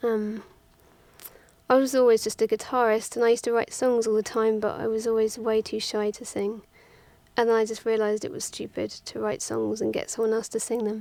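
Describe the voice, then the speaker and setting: Speaking fairly quickly, a woman with an English accent keeps a monotone, flat intonation. Her tone is dark and mellow. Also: fairly high pitch for a woman. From England, Twickenham near London. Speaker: musician. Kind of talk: interview. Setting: studio.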